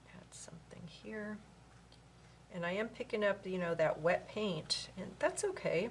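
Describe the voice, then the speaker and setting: Speaking at a fairly slow pace, a woman uses a medium pitch with ordinary pitch variation. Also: big swings in loudness. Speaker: art instructor. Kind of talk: painting tutorial. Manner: soft-spoken at times; casual, thinking aloud.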